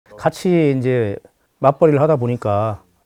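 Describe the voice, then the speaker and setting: A man at a medium pitch, dark and mellow in tone, with lively intonation and a moderate pace, in a dry, close sound with no echo. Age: 60s. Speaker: retiree. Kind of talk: casual chat.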